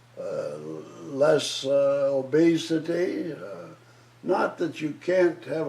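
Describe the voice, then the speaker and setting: Noticeable background noise accompanies a man's speech. He talks at a very slow pace. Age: 80s+. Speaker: retired surgeon. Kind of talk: interview answer. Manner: hesitant, many filler words.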